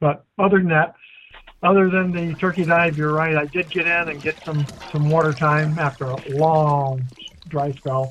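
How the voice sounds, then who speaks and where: A man with a normal speaking voice, fairly high in pitch, with fairly even intonation at a moderate pace. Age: 60s. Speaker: dive instructor and co-host. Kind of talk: casual chat.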